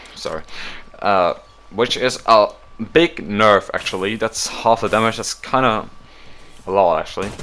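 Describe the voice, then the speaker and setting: A man's medium-pitched voice at a moderate pace, with ordinary pitch variation, long, frequent pauses and noticeable background noise. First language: not English. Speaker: gaming YouTuber. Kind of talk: casual commentary reading patch notes. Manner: hesitant, self-correcting.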